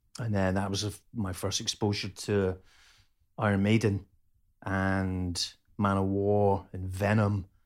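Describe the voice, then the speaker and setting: A man with a Scottish accent speaks at a fairly low pitch and a fairly slow pace. His delivery is monotone and flat, with long, frequent pauses. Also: very clean recording, silent background. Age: 50s. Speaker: chef and metal musician. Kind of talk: casual chat. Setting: at home, cooking dinner during recording.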